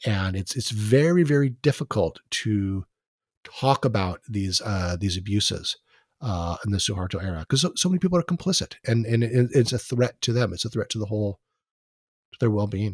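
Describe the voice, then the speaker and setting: A man speaks in a somewhat breathy voice. The recording is very clean with a silent background, and the sound is dry and close with no echo. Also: fairly low pitch for a man, fairly quick pace. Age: 50s. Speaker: history professor. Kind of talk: interview.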